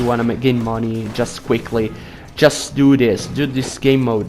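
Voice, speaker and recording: Noticeable background noise under speech at a moderate pace. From Italy. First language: Italian. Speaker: gaming YouTuber. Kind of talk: gameplay tutorial. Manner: casual, with hesitations and self-corrections.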